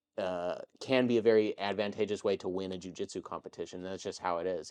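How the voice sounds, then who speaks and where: Against a quiet background, a man with an American accent and an ordinary speaking voice talks at a moderate pace, his fairly low pitch held in fairly even intonation. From Texas. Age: 30s. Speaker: jiu-jitsu competitor and YouTube creator. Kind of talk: casual interview chat.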